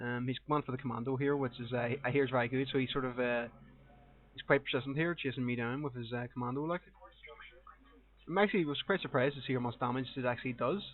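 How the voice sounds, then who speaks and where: In a strong Northern Irish accent, the speaker talks very fast with fairly even intonation. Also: man, medium pitch for a man. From Northern Ireland. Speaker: gaming commentator. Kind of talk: live gameplay commentary. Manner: casual, hesitant with fillers.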